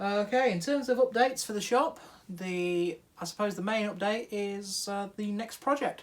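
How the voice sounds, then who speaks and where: A man with a British accent speaks at a moderate pace. His voice is high, with ordinary pitch variation. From UK. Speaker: hobby machinist YouTuber. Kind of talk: casual workshop vlog. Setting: home garage workshop.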